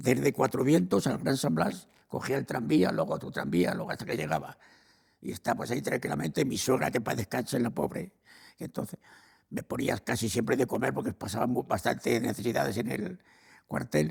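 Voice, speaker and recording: A man's medium-pitched voice with vocal fry and very wide pitch swings. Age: 80s+. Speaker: elderly man recalling his life. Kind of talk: interview answer. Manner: hesitant, repeats words.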